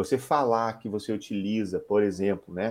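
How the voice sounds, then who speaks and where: A man talks in an unremarkable speaking voice at a medium pitch. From Curitiba, southern Brazil. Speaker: startup founder and CEO. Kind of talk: interview.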